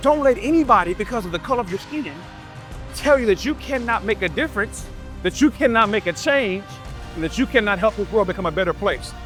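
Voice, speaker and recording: Music plays in the background. The speaker talks at a very fast pace, in a passionate tone with lively intonation. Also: man, high pitch for a man. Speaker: motivational keynote speaker for educators and students. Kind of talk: motivational keynote speech to audience. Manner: passionate, encouraging, emphatic.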